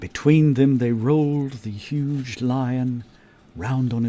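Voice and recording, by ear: Fairly even intonation runs through this reading, done aloud in a natural voice.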